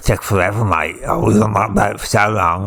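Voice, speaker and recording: Doing a put-on character voice in a Cockney accent, a man speaks raspy and fairly low at a fairly quick pace over light background noise. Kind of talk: casual, mate-style.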